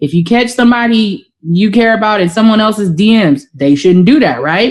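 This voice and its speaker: A woman speaks at a moderate pace and a fairly high pitch, her intonation lively and her loudness very even. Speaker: podcast co-host. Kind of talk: casual chat.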